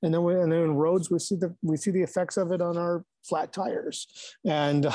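A man with a Midwestern American accent speaks in a fairly high voice with a dark, mellow tone over a quiet background. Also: dry, close sound with no echo. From Michigan, Ann Arbor area. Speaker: newspaper editor and journalist. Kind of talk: casual interview. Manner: frequent fillers and repetitions.

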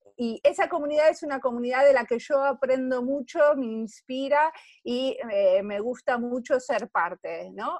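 In an Argentine accent, a high-voiced woman talks at a fairly slow pace with hardly any pauses, in a dry, close sound with no echo. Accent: Argentine Spanish (Rioplatense). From Argentina. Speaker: service designer. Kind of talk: interview.

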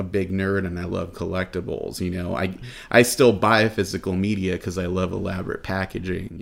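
Over a very clean recording with a silent background, a man with an American accent speaks at a fairly quick pace in a very deep, low voice. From Los Angeles. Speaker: film event organizer. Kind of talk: interview.

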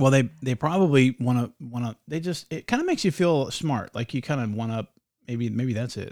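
In a normal speaking voice with ordinary pitch variation, the speaker goes at a fairly quick pace on a very clean recording with a silent background. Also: man, medium pitch for a man. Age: 40s. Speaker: podcast host. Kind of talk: casual chat.

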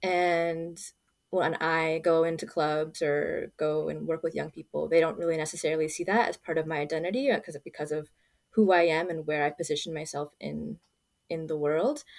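A woman with an American accent and an unremarkable speaking voice, fairly low in pitch, talks at a moderate pace. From Los Angeles, US. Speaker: nonprofit volunteer. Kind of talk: interview.

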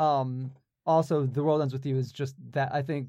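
The man keeps to a moderate pace. Behind him the background is silent, and the recording is very clean. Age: 20s. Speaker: podcast co-host. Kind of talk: casual chat. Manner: halting.

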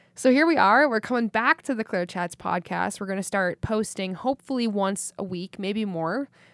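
A woman with an American accent and a medium pitch has a plain, everyday voice with lively intonation, at a moderate pace with hardly any pauses. The recording is very clean, with a silent background and a dry, close sound with no echo. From US Midwest (Wisconsin). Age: 20s. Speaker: podcast host. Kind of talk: solo monologue, casual. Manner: filler-heavy, relaxed.

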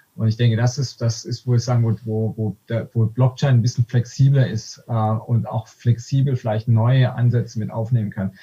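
A man with a dark, mellow tone talks at a moderate pace in a medium pitch, somewhat breathy and monotone with flat intonation. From Swabia, Württemberg (Aalen), Germany. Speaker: economist. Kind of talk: casual interview conversation. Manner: halting, many fillers and restarts.

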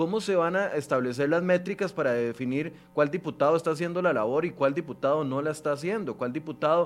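Music plays in the background as a man talks at a very fast pace with hardly any pauses. His pitch is fairly high, with ordinary variation. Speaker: TV news show host. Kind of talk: interview.

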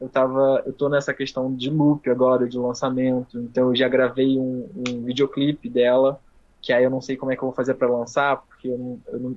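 A man speaks at a moderate pace. His medium-pitched voice has monotone, flat intonation. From Brazil, Nova Friburgo, Rio de Janeiro state mountain region. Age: 20s. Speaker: independent singer. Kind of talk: casual interview chat. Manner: halting, many repetitions.

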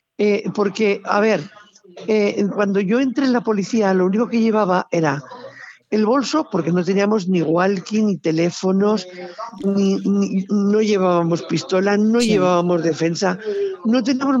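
Over noticeable background noise, a woman speaks at a fairly slow pace and medium pitch. Her pitch variation is ordinary and her loudness very even. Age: old. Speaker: retired police officer. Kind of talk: casual chat. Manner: animated.

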